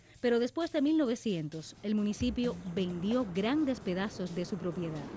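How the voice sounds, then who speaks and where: Music plays in the background as a woman speaks at a moderate pace. Her medium pitch moves in very wide swings. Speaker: announcer, voice-over narrator. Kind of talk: documentary narration.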